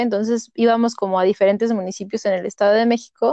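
A woman speaks at a moderate pace in a medium pitch, her dark, mellow tone delivered in a monotone, flat intonation with a dry, close sound and no echo. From Mexico, Toluca. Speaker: doctor. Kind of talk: casual chat.

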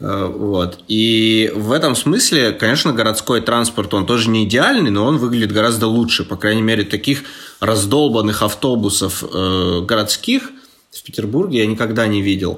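A man with a medium pitch and ordinary pitch variation keeps a moderate pace while noticeable background noise carries on. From Chelyabinsk, Russia. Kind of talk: casual chat.

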